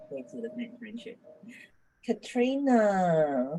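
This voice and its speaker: A woman's somewhat breathy, dark, mellow voice at medium pitch, with very wide pitch swings and a very slow pace. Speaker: coach, group host. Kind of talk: group facilitation. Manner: animated.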